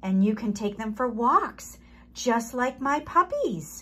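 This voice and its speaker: A woman's put-on character voice at a fairly high pitch, delivered at a fairly slow pace. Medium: read story.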